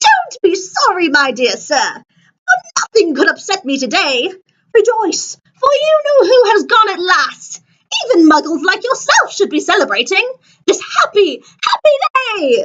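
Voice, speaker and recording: A woman's put-on character voice, squeaky and extremely high in pitch, with very wide pitch swings at a moderate pace. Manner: gleeful, delighted.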